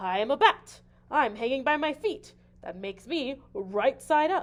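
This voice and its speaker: A woman uses a put-on character voice, high in pitch and loud. She talks at a moderate pace. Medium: read story.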